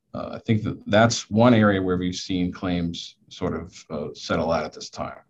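Big swings in loudness mark a man's very deep, low voice, which moves at a moderate pace with ordinary pitch variation and hardly any pauses. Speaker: construction attorney. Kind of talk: panel discussion. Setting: video call.

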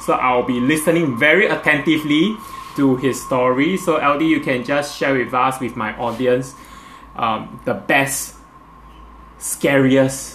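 Noticeable background noise sits behind a man speaking at a fairly slow pace. His pitch is medium with ordinary variation. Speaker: podcast host and interviewer. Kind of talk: casual interview chat. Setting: video call.

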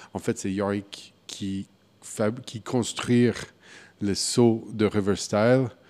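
With an English accent, a man speaks at a very slow pace in a fairly low pitch, his dark, mellow tone flat and monotone, broken by long, frequent pauses. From US Midwest, Wichita, Kansas. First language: English (speaking French). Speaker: craft brewer. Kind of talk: interview. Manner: halting.

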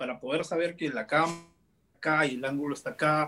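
A man talking at a fairly quick pace. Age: 20s. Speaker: comedian and content creator. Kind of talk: casual interview.

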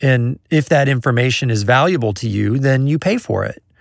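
At a medium pitch and moderate pace, a man speaks in a normal speaking voice with lively intonation on a very clean recording with a silent background. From US Midwest, Kansas City. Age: 40s. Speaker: music producer and mixer. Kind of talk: casual interview chat. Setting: in person.

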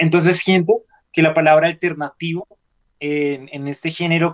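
A man talks with a dry, close sound that carries no echo. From Colombia. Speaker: rock musician. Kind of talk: radio interview. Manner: hesitant, many filler sounds.

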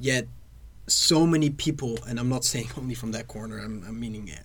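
Audible room echo surrounds a man speaking at a fairly quick pace. His pitch is medium and his intonation fairly even. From Netherlands. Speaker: podcast guest, former student. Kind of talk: casual chat.

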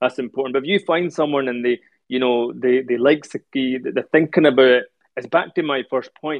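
A man with a Scottish accent talks at a fairly quick pace. His medium-pitched voice keeps a fairly even intonation. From Scotland, Edinburgh. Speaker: Sikh speaker. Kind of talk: religious talk.

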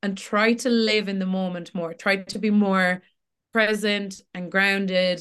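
Monotone, flat intonation from a woman at a medium pitch, in a Tipperary accent and at a fairly slow pace. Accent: Irish (Tipperary). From Ireland, Tipperary. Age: 20s. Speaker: social media creator. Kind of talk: casual chat.

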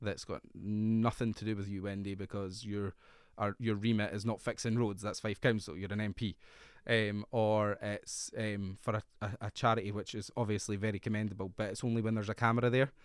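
A man with a Scottish accent, fairly low in pitch and monotone and flat, at a fairly quick pace on a very clean recording with a silent background. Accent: Scottish (Fife). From Scotland, Fife. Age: 30s. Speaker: politician. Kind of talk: interview.

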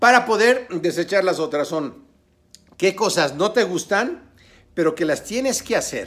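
The voice has an animated tone and lively intonation. Its pace is moderate. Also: man. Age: 50s. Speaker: online business coach. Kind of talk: tutorial.

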